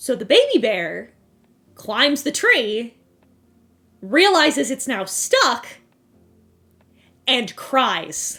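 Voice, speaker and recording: A woman's raised, projected voice, high and bright with a sharp tone, swings very widely in pitch at a very slow pace with long, frequent pauses. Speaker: vtuber streamer. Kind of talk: casual chat, storytelling. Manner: animated.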